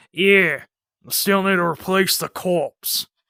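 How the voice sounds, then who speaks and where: The speaker is a man. His voice is a put-on character voice. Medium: audio drama. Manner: gruff, offhand.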